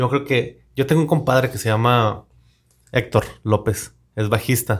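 A somewhat breathy voice at a moderate pace. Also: man. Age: 30s. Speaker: podcast host. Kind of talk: casual interview chat.

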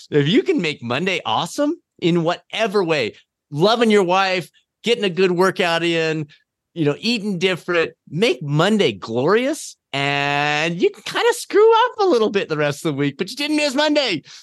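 A man at a high pitch with very wide pitch swings and a moderate pace, over a quiet background. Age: 50s. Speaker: fitness coaching company CEO and endurance athlete. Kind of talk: casual interview.

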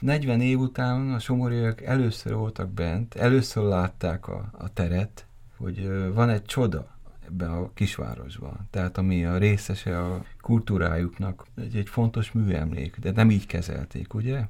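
Fairly slow, lively intonation from a man with a fairly low pitch and a dark, mellow tone. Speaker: gallery founder. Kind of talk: interview.

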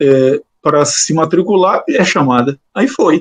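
A man speaks with lively intonation in a dry, close sound with no echo. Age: 60s. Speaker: law professor and judge. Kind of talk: interview. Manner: halting, many repetitions.

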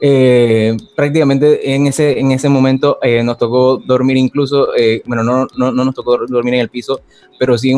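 A man's flat, monotone delivery moves along at a fairly quick pace. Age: 20s. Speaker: communicator and former radio producer. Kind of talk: interview. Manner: halting, many repetitions.

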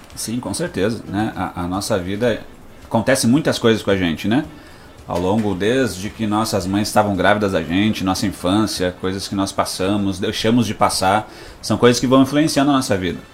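A man at a moderate pace, with audible room echo. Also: fairly low pitch for a man, ordinary pitch variation. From Rio Grande do Sul, Brazil (Passo Fundo). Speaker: pastor and psychoanalyst. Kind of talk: radio interview with sermon-style message. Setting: radio studio.

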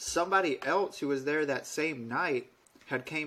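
Here a man with an American accent uses an ordinary speaking voice and ordinary pitch variation. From Alabama, US South. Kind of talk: casual chat, storytelling.

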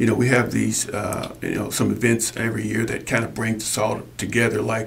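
Flat, monotone delivery from a man at medium pitch and moderate pace, with noticeable background noise. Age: 60s. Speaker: sports hall of fame co-founder. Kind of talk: interview. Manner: halting.

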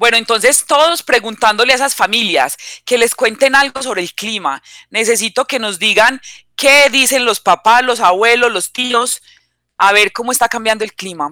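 Very clean recording with a silent background: a woman at fairly high pitch, bright, sharp tone, ordinary pitch variation and moderate pace, with a dry, close sound and no echo. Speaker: teacher. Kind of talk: radio lesson.

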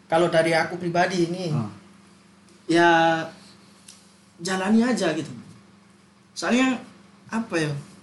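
The speaker keeps a moderate pace with long, frequent pauses. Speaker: university student. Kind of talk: casual chat.

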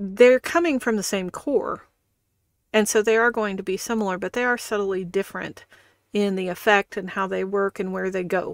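A woman speaks at a moderate pace with a Midwestern US accent and ordinary pitch variation. The recording is very clean, dry and close, with no echo and a silent background. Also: medium pitch for a woman. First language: not English. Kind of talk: casual chat. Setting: live stream.

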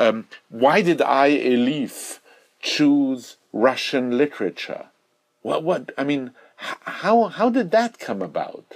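Speaking at a very slow pace, the man uses a fairly high pitch with very wide pitch swings. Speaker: interviewer. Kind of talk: casual interview conversation. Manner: halting, repeats words.

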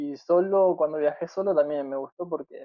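A man speaks at a moderate pace. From Argentina, La Pampa. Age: 20s. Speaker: long-distance cyclist. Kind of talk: interview. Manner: halting, with frequent repetitions.

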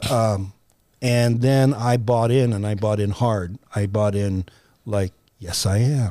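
A man with an American accent, dark and mellow in tone, at a very slow pace with long, frequent pauses. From California, San Francisco Bay Area. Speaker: actor, writer and director. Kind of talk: casual interview chat. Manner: halting, frequent repetitions and fillers.

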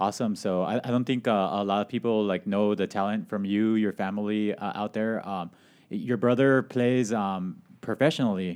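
A normal speaking voice from a man, fairly low in pitch, at a moderate pace with fairly even intonation, in a very clean recording with a silent background. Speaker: radio host. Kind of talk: radio interview. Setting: radio studio. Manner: casual, chatty.

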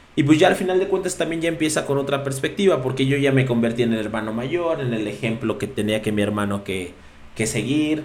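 Speaking fairly quickly at a medium pitch, a man uses lively intonation in a room with audible echo. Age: 30s. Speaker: podcast co-host. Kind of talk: casual chat.

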